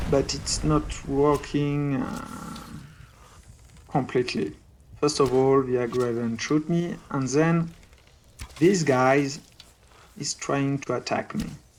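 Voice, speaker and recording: A man at a very slow pace with long, frequent pauses, fairly high-pitched, with ordinary pitch variation. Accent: French. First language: French. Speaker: gaming video creator. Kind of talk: gameplay commentary. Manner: hesitant with many fillers.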